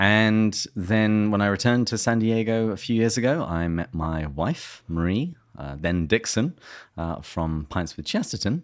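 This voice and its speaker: A man with an English accent and lively intonation. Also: very clean recording, silent background. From England. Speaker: podcast host. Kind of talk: interview.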